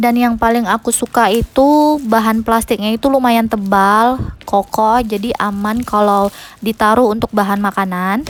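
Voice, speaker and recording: Shrill and fairly high-pitched, a woman speaks at a moderate pace with fairly even intonation. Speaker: home cooking vlogger. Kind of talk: voice-over narration. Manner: casual, chatty.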